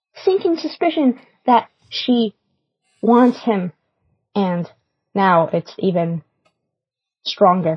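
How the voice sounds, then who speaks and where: A woman with an American accent speaks very slowly at medium pitch, somewhat breathy, with long, frequent pauses. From Florida. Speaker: listener leaving voicemail. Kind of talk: voicemail review. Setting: phone recording.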